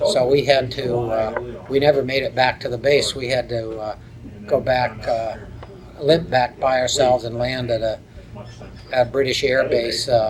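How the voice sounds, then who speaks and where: Speaking at a fairly slow pace in a Midwestern American accent, a man holds a medium pitch with monotone, flat intonation over noticeable background noise. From Cleveland, Ohio. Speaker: war veteran. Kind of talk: interview answer. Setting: reunion event.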